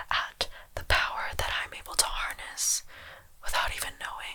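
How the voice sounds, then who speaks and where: A woman is whispering at a fairly slow pace. Noticeable background noise sits behind her. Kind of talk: ASMR diary reading, storytime. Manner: soft-spoken, whispered.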